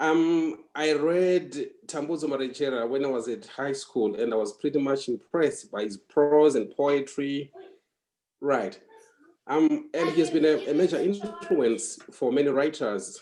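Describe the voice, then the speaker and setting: With a Zimbabwean accent, a man speaks fairly slowly in a fairly high voice with a dark, mellow tone. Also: ordinary pitch variation. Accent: Zimbabwean (Ndebele) English. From Zimbabwe, Bulawayo. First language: Ndebele. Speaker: writer. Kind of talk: interview. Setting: podcast interview.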